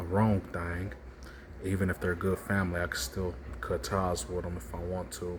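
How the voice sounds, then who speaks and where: There is audible room echo as a man speaks with a very deep, low pitch. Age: 20s. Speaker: vlogger. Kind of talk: personal monologue vlog.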